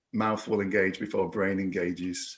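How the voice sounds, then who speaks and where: A man with a Yorkshire accent, talking at a fairly slow pace. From northern England, Yorkshire. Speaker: reiki instructor and podcaster, concussion survivor. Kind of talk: recorded personal testimony. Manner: halting, many repetitions and fillers.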